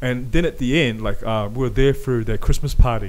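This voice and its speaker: Speaking at a fairly quick pace with ordinary pitch variation, a man is heard with audible room echo. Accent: New Zealand. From New Zealand, South Auckland. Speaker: podcast host. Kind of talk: casual chat. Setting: home garage. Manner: animated.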